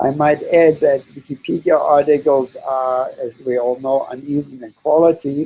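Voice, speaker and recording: A man speaks at a moderate pace in a fairly high, monotone voice with flat intonation, barely pausing while his loudness swings widely. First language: German. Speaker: psychologist. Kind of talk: webinar Q&A. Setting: online webinar. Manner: halting, many fillers.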